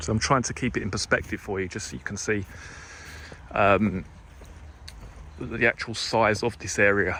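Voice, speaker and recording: A man speaks at a moderate pace with long, frequent pauses, his fairly low voice bright and sharp in tone, with ordinary pitch variation. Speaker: true crime youtuber. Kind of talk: walking vlog narration. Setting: outdoors in fields. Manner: casual, hesitant with fillers.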